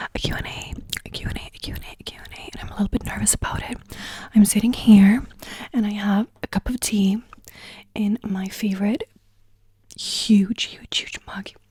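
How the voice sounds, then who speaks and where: A woman whispers, with long, frequent pauses and big swings in loudness. The sound is dry and close, without echo. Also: moderate pace. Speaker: ASMR creator. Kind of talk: casual talk to camera, Q&A. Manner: soft-spoken, friendly, rambling.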